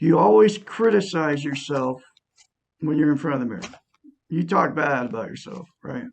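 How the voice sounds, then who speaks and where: Moving at a moderate pace, a man with a fairly high pitch makes very wide pitch swings and big swings in loudness. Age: 60s. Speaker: self-help YouTuber. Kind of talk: self-help talk to camera.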